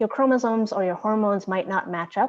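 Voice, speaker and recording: A woman's pitch varies in an ordinary way while the background stays quiet. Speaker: diversity trainer. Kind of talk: training workshop. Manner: fast; hesitant with fillers.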